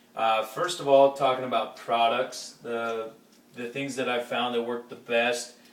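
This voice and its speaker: The speech comes at a fairly slow pace in a monotone, flat intonation, with noticeable background noise present. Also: man, medium pitch for a man. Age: 20s. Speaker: high school football coach. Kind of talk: casual talk to camera. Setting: home kitchen.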